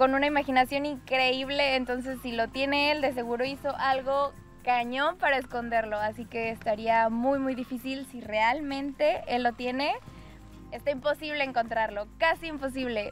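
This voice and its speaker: A woman speaks at a moderate pace in a high voice with fairly even intonation, her dry, echo-free sound set against faint background music. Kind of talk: interview answer. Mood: amused, smiling. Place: forest.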